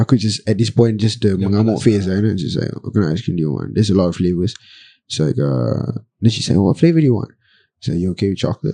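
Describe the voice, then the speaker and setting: A man talks at a very fast pace in a dark, mellow tone. His intonation is lively. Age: 20s. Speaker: rapper. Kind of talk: casual chat.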